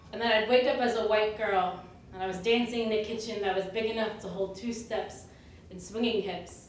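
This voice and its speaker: At a moderate pace, a woman talks with a fairly high pitch and fairly even intonation. Noticeable background noise and audible room echo are present. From US suburbs. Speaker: spoken word poet. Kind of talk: slam poetry performance.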